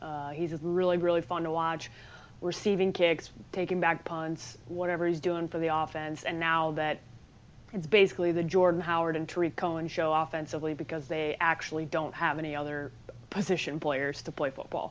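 A woman with a Chicago accent, fairly low-pitched and fairly quick, in a flat monotone over a quiet background. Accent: Chicago Midwestern. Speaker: sports journalist. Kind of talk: casual chat.

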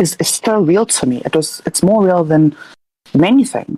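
A woman's unremarkable speaking voice, fairly low in pitch, with lively intonation at a moderate pace, in a dry, close sound with no echo. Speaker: caller and healer. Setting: Discord call.

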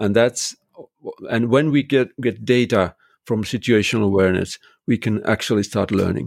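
A man with a Finnish accent at a moderate pace, ordinary pitch variation, the sound dry and close with no echo. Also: medium pitch for a man. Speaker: construction technology consultant. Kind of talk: interview conversation. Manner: halting, many fillers.

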